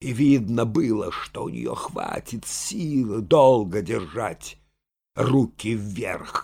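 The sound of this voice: The speaker uses an unforced reading voice with ordinary pitch variation. The background is quiet.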